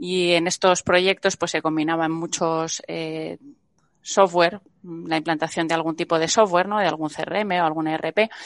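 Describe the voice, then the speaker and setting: Against a quiet background, a woman talks at a fairly slow pace in a fairly low, monotone, flat voice, the sound dry and close with no echo. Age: 40s. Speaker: venture capital investor. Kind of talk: interview.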